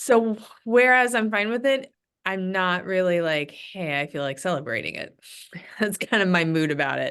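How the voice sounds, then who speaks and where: Here a woman speaks at a medium pitch. Her voice has very wide pitch swings. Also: moderate pace. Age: 40s. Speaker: school principal. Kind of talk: casual video call chat with parents. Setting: video call. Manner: hesitant, filler-heavy.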